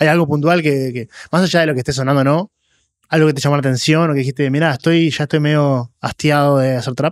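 With a Rioplatense accent, a man talks at a fairly high pitch with ordinary pitch variation, the sound dry with no echo against a quiet background. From Argentina. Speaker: podcast host. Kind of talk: interview. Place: studio. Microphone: studio mic.

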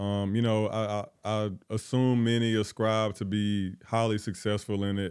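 Against a quiet background, a man with a fairly low pitch speaks at a moderate pace with hardly any pauses and a monotone, flat intonation. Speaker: podcast co-host. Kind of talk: casual interview. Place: studio. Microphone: handheld.

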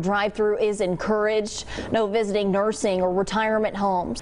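At a fairly quick pace, a woman talks with fairly even intonation over light background noise. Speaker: TV news anchor and reporter. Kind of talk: TV news anchor read. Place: studio.

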